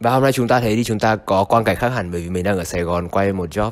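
A man's very fast speech, fairly low in pitch with ordinary pitch variation. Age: 20s. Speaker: vlogger. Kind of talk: vlog monologue. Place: home room. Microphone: handheld.

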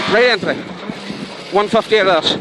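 The pace is moderate. Noticeable background noise sits under a dry sound with no echo. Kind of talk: pace-note calls. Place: car. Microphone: headset.

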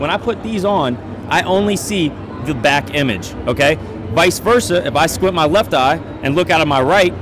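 A man at a moderate pace, with a dry sound with no echo and noticeable background noise. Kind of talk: product demo explanation. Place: hall. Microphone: handheld.

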